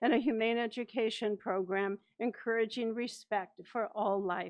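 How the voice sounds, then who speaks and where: A woman's fairly high voice at a moderate pace against a quiet background. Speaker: retired humane education specialist. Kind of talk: public comment at board meeting. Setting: board meeting with microphone.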